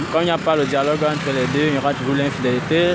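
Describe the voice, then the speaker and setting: Loud background noise around a man's dry voice with no echo. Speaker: interviewee. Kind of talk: interview answer. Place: street. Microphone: phone near.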